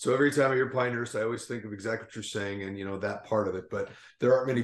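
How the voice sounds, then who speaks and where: Speaking at a very fast pace, a man delivers his words in an American accent. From southern Minnesota, US. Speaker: golf director and podcast co-host. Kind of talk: casual interview chat.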